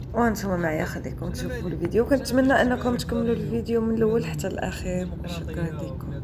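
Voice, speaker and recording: Speech comes at a moderate pace with hardly any pauses over noticeable background noise. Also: woman. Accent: Moroccan. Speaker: vlogger. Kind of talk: travel vlog narration.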